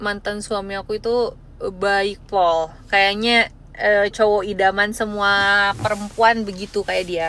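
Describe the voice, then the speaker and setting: At a very slow pace, a woman with a West Javanese accent speaks at a medium pitch in a bright, sharp tone with monotone, flat intonation. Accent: faint Sundanese in Indonesian. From West Java (Bandung). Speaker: live-stream seller. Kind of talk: live stream chat. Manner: casual, chatty.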